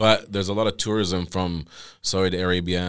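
At a moderate pace, the voice stays monotone and flat, on a very clean recording with a silent background. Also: man. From Jordan. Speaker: podcast guest. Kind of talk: casual interview.

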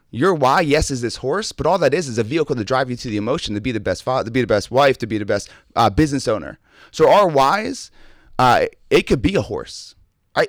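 Very clean recording with a silent background: a man's fairly high voice swinging very widely in pitch. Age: 30s. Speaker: motivational speaker and coach. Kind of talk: casual interview chat.

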